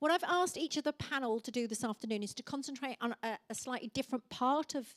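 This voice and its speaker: Her high-pitched voice, with an English Midlands accent, moves at a fairly quick pace with lively intonation. The woman is recorded dry and close with no echo. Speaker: panel moderator. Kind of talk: panel moderation.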